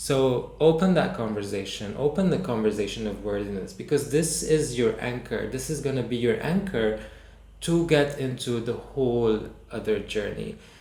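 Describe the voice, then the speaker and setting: Amid noticeable background noise and audible room echo, a man with a medium-pitched voice talks at a moderate pace, his pitch varying in an ordinary way. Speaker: movement and healing workshop teacher. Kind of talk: online workshop talk. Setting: online session with screen share. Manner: halting, many restarts and fillers.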